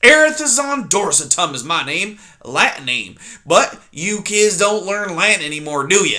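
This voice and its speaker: A man uses a put-on character voice that is high, gruff, shrill, and growling. He speaks at a moderate pace with very wide pitch swings. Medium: read story. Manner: gruff, insulting, impatient.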